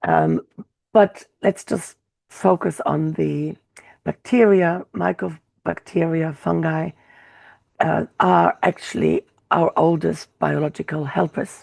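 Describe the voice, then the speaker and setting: Against a quiet background, a woman speaks at a very slow pace in a dry, close sound with no echo. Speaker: healing practitioner and coach. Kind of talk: lecture. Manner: halting with many fillers.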